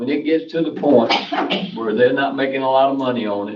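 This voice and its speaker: In a North Carolina accent, a man with a fairly high pitch speaks at a fairly quick pace amid audible room echo. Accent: Southern US (North Carolina). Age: old. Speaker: local resident speaking at public comment. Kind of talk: public comment at town meeting. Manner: loud.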